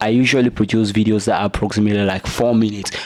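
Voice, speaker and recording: A man's voice over noticeable background noise. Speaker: YouTube creator giving tutorial. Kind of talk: tutorial. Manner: casual, frequent filler 'right'.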